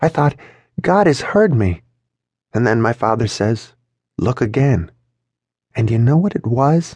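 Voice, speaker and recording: A man speaks in a somewhat breathy voice. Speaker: audiobook narrator. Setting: studio.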